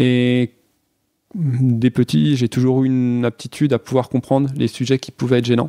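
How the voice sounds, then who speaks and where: Dry and close with no echo, a man's voice carries a dark, mellow tone and fairly even intonation. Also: medium pitch for a man, moderate pace. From Franche-Comté, France. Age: 20s. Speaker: biology teacher. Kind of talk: personal testimony. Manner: hesitant, many fillers.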